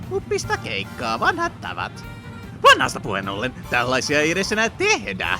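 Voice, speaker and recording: This is a cartoonish character voice. Loud music plays behind it. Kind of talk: cartoon fan dub. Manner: playful, giddy.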